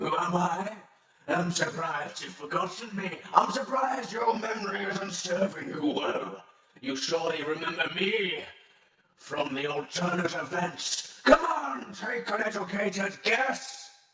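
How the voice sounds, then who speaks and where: In a put-on character voice, a man projects loudly at a high pitch with lively intonation and a moderate pace, a slight echo around him. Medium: audio drama. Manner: imperious, mocking.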